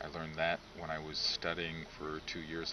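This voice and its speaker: At a moderate pace, a man speaks with a very deep, low pitch over noticeable background noise. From United States (Lithuanian-American). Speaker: clergyman. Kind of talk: interview. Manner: measured, with frequent hesitations.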